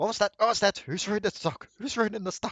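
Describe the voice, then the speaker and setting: In a gruff put-on character voice, a man talks at a very fast pace with a high pitch and ordinary pitch variation. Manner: annoyed, repeating.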